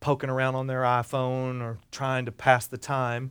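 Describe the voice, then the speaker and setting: A man with a South Carolina accent. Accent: US Southern (South Carolina). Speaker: storyteller. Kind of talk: live personal storytelling performance to an audience, with quoted character dialogue. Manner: animated, comic timing with pauses for laughs; folksy conversational asides to the listeners.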